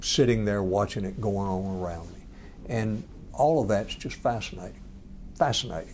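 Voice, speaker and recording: A man with a Georgia accent, fairly low pitch and ordinary pitch variation, at a moderate pace with audible room echo. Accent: Georgia Southern US. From Georgia, US South (near Commerce). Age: 60s. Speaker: lawyer and former state attorney general. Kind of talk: interview.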